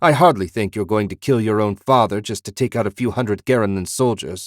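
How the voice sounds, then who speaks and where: In a growling, put-on character voice, the speaker goes at a fairly quick pace with ordinary pitch variation, and the sound is dry and close with no echo. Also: man, fairly low pitch for a man. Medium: read story. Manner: blunt, decisive.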